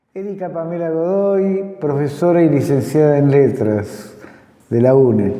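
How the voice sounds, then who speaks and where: A man talks at a fairly slow pace. The room echo is audible, and there is noticeable background noise. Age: 60s. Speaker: teacher and program host. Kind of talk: scripted program introduction. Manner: formal.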